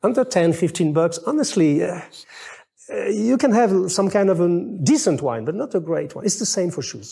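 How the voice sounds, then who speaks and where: With a dark, mellow tone and a high pitch, a man talks at a moderate pace through very wide pitch swings. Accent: French. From France. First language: French. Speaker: menswear writer and video host. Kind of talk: casual chat. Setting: at the hosts' home. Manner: halting.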